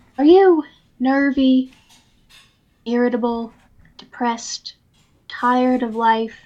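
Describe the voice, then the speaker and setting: A woman with a high pitch and ordinary pitch variation speaks very slowly. Her speech has long, frequent pauses. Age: 20s. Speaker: podcast co-host. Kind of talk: casual chat. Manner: stutters.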